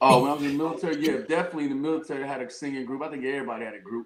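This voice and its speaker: A man talks at a very fast pace. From Chicago, US Midwest, via Ohio. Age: 50s. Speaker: R&B singer. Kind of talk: casual interview chat.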